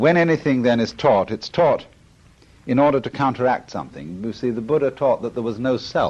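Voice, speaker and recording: A man speaks with a British accent at a medium pitch. His pace is fairly quick, and his pitch varies in an ordinary way. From Britain. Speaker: philosopher. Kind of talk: lecture.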